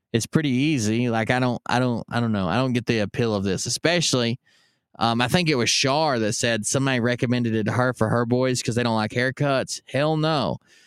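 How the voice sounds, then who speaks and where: Over a very clean, silent background, a man with an unremarkable speaking voice speaks at a medium pitch with ordinary pitch variation and very even loudness, in a dry, close sound with no echo. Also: fairly quick pace. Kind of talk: pitchman reading an old ad aloud; casual live-stream chat. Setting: live stream. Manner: joking, sarcastic asides.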